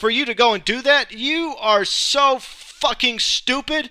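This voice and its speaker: Raised, projected male voice in an American accent, bright, sharp tone and lively intonation, on a very clean recording with a silent background. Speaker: alternative talk show host. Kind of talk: political rant monologue. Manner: rambling, not eloquent.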